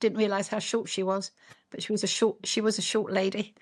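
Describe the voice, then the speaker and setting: Delivered at a fairly quick pace in a monotone, flat intonation, the speech comes in a very clean recording with a silent background. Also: woman. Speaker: grandmother. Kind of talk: interview answer.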